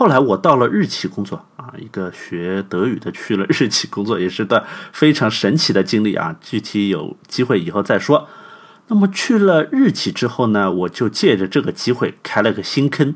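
A man talks at a moderate pace and medium pitch, his tone animated and his intonation lively. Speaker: podcast host. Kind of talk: scripted narration.

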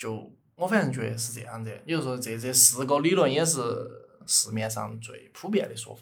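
With a Sichuan accent and vocal fry, the speaker talks at a fairly quick pace with ordinary pitch variation and big swings in loudness, and audible room echo surrounds the voice. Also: man, medium pitch for a man. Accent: Sichuan (Chengdu) dialect Mandarin. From Chengdu, Sichuan, China. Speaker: podcast co-host. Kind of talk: casual chat with storytelling.

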